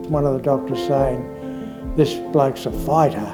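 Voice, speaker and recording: With music in the background, a man in an Australian accent speaks at a fairly slow pace. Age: 70s. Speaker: COVID-19 survivor. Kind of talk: interview answer.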